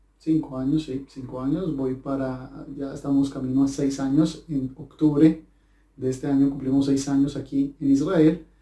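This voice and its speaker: A man speaks in a fairly high pitch with a dark, mellow tone. His intonation is monotone and flat. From Colombia, Cali. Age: 20s. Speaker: language teacher. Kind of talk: personal talk to camera. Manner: halting, many fillers.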